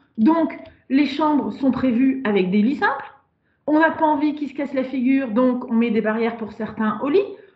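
A woman with a high voice talks at a moderate pace, her intonation lively. Audible room echo surrounds her. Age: 40s. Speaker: sexologist and couples therapist. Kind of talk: podcast interview.

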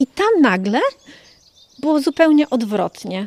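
A woman with a high-pitched voice speaks at a moderate pace. The sound is dry and close, with no echo. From Poland, Warmia-Masuria region, later Germany. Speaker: sworn translator and foundation founder. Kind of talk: reportage interview.

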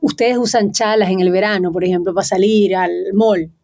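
With music in the background, a woman talks at a fairly quick pace with ordinary pitch variation. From Venezuela. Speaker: singer-songwriter. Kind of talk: interview.

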